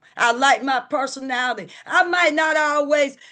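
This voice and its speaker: Someone speaks at a moderate pace with a Southern US accent. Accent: Southern US rural. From US South, rural. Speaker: recovery group leader. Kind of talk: recovery meeting talk. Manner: animated.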